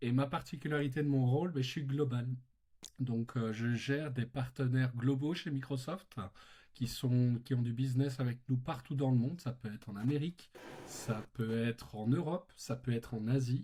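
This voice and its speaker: Somewhat breathy, a man with a slight Belgian accent speaks in a dark, mellow tone with fairly even intonation. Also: medium pitch for a man, moderate pace. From Belgium. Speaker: tech company partner manager. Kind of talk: podcast interview.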